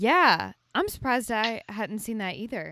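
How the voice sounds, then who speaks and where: This woman speaks at a moderate pace with a bright, sharp tone, on a very clean recording with a silent background. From Alabama, Birmingham. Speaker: podcast host. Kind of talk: casual interview chat.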